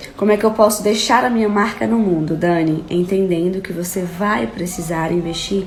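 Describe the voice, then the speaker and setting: A woman speaks at a moderate pace with ordinary pitch variation, amid noticeable background noise and audible room echo. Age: 20s. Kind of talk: live stream teaching. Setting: live stream.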